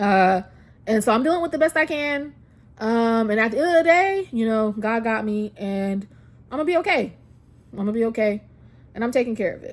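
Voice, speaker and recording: A woman talks at a fairly quick pace with very wide pitch swings. She leaves long, frequent pauses. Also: fairly high pitch for a woman. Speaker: vlogger sharing health update. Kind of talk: personal life update vlog. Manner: fast.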